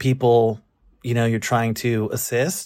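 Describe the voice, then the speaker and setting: This man speaks with a Californian accent at a fairly slow pace. The recording is very clean, with a silent background. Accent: Californian American. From Los Angeles. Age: 30s. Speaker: listener with a question. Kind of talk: casual conversation.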